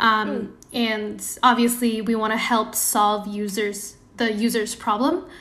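This woman's voice sits fairly high and her intonation stays fairly even. She speaks at a fairly slow pace, with audible room echo. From Indonesia. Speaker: product designer. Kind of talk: casual interview.

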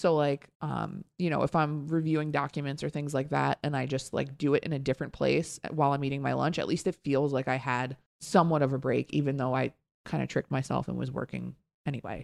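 A woman with a very deep, low pitch and vocal fry talks at a fairly quick pace in a monotone, flat intonation, the sound dry and close with no echo. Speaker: podcast co-host. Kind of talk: casual chat. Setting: studio. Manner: fast.

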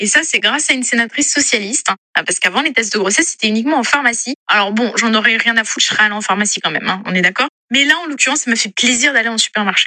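Talking at a very fast pace with hardly any pauses, a woman with a fairly high pitch shows ordinary pitch variation. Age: 30s. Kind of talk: testimony.

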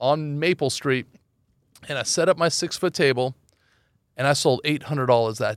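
A man with a Californian accent speaks at a fairly high pitch and a moderate pace, with ordinary pitch variation and long, frequent pauses. The recording is very clean, with a silent background. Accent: General American (Californian). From Los Angeles. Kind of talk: interview.

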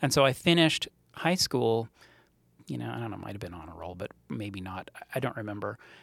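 A man with a fairly low pitch and vocal fry talks fairly quickly with very wide pitch swings, big swings in loudness and long, frequent pauses, in a dry, close sound with no echo. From Montreal, Canada. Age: 40s. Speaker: startup co-founder. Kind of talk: interview. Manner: animated.

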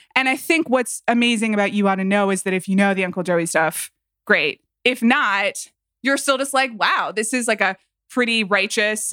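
A woman with an American accent and an ordinary speaking voice talks at a moderate pace, with medium pitch and ordinary pitch variation. The sound is dry and close, with no echo. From US South, Atlanta, Georgia. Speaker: podcast guest. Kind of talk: casual chat.

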